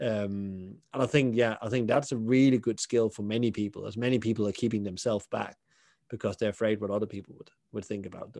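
Against a quiet background, a man with a Danish accent and a dark, mellow tone talks at a very fast pace at a fairly low pitch, with fairly even intonation and big swings in loudness. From southern Denmark. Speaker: hospitality consultant and podcaster. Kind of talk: interview.

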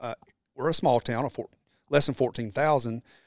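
Medium pitch from a man, in a dry, close sound with no echo and a very clean recording against a silent background. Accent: Southern US. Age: 40s. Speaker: entrepreneur and former firefighter. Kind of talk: casual interview. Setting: in person at his shop.

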